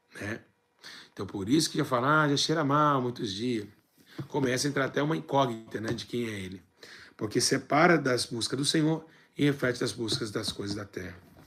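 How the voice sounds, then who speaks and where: The speaker's pitch varies in an ordinary way. Pauses come long and often. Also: man, medium pitch for a man. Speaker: church teacher. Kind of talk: bible teaching. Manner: fast.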